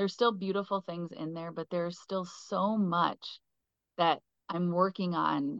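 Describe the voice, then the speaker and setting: A woman talks at a fairly slow pace, keeping her intonation fairly even. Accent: Upper Midwest. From southwestern Minnesota. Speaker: keynote speaker. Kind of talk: casual interview.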